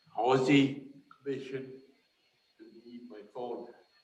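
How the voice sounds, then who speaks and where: A man with an American accent, audible room echo around his voice. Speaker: council member. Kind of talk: council meeting. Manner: halting, repeats words.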